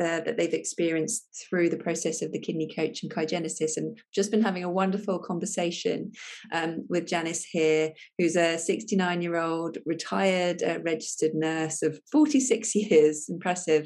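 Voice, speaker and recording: At a moderate pace, a woman with a fairly low pitch speaks in a plain, everyday voice, her intonation fairly even. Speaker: functional medicine doctor. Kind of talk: video introduction.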